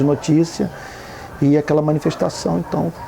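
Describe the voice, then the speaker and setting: Noticeable background noise runs under the recording. A man talks at a fairly quick pace. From Brazil, Rio de Janeiro. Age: 50s. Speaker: activist pastor, NGO founder. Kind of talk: documentary interview. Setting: outdoors.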